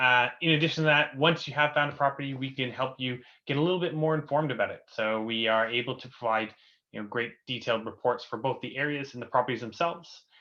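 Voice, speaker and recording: Speaking at a very fast pace with a Canadian accent, a man uses a medium pitch, ordinary pitch variation and a bright, sharp tone over a quiet background. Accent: Canadian, noticeable to UK audience. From Canada. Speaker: company co-founder, webinar host. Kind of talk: webinar presentation. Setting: online webinar. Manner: many filler words (uh, um).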